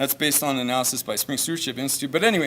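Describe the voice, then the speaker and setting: A man speaks loudly. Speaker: archaeologist. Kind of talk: conference talk. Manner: casual, conversational.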